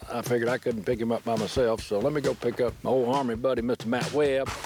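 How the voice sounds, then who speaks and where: A man speaks at a fairly quick pace in a medium pitch, with noticeable noise in the background. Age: 60s. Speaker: hunting show host. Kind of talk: outdoor show narration. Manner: animated.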